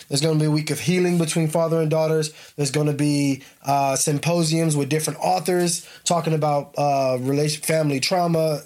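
At a fairly quick pace, a man talks in an animated tone with a fairly high pitch. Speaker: father and podcast host. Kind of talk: casual conversation with daughter. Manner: casual, animated.

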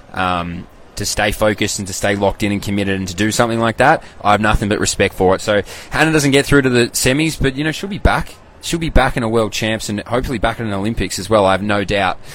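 A man with an Australian accent, fairly low-pitched, at a very fast pace with ordinary pitch variation. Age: 20s. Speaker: athletics podcaster and former athlete. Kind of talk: casual live-stream commentary. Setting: live stream. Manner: animated.

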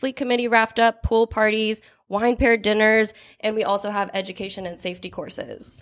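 A woman speaks in an American accent at a medium pitch and a fairly quick pace, with a normal speaking voice. The recording is very clean, with a silent background. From Chicago, Illinois, then US West Coast. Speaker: marketing assistant. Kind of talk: interview.

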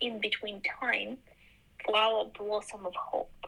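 A woman with a Ukrainian accent at a very slow pace. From Ukraine. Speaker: quilter and textile artist. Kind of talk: interview. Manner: halting.

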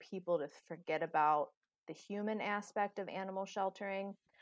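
At a fairly quick pace, a woman with an American accent and an ordinary speaking voice talks at medium pitch, in a dry, close sound with no echo. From US Midwest, greater Cincinnati, Ohio. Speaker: animal shelter director. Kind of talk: casual interview conversation.

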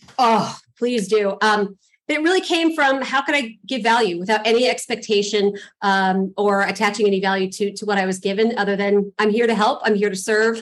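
A woman speaks fairly quickly in a fairly high voice with ordinary pitch variation. She has a Californian accent. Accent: General American (California). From Los Angeles, US. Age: 40s. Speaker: real estate investor. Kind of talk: interview. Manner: chatty.

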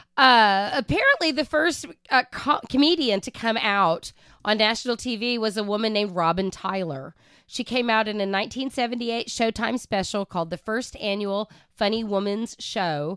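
Recorded very cleanly with a silent background and a dry, close sound with no echo, a woman with an ordinary speaking voice and an American accent talks at a moderate pace and fairly high pitch with lively intonation. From Oklahoma. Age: 50s. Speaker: podcast co-host. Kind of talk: casual chat.

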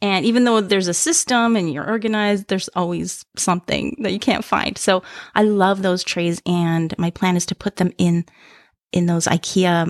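A woman with a normal speaking voice and a Canadian accent, medium in pitch with ordinary pitch variation, at a moderate pace, in a dry, close sound with no echo and a very clean recording with a silent background. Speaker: podcast co-host, charm collector. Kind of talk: casual chat.

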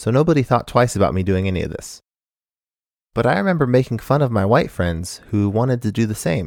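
A man with a plain, everyday voice and an American accent speaks at a medium pitch and a fairly quick pace with lively intonation, in a very clean recording with a silent background. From Arizona, US (Phoenix). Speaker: podcast host. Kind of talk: solo monologue commentary.

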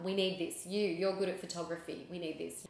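Noticeable background noise sits behind a woman with an Australian accent. Her voice is fairly low, with fairly even intonation. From Sydney, Australia. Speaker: charity founder and communications director. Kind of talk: interview.

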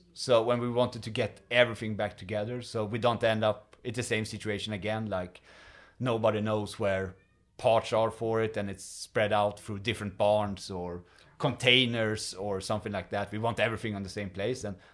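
Speaking at a fairly quick pace in a Swedish accent, the voice stays monotone and flat, captured on a very clean recording with a silent background. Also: man. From Sweden. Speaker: museum volunteer, streetcar mechanic. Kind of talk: casual interview.

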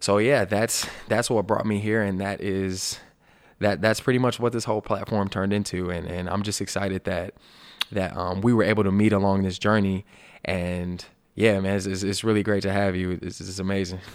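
A man's fairly low voice holds a flat, monotone intonation while moving at a moderate pace. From Alabama. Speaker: podcast host, former college football player. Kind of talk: casual chat.

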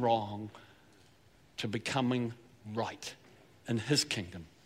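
The speaker is a man. He talks in a Southland New Zealand accent. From New Zealand, Southland. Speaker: pastor. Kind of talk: sermon. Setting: church.

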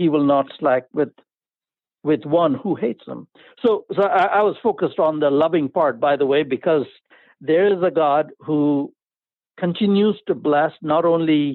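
With an Indian accent, a man speaks at a fairly high pitch and a fairly slow pace, using lively intonation. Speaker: pastor, life coach and artist. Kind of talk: interview. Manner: enthusiastic.

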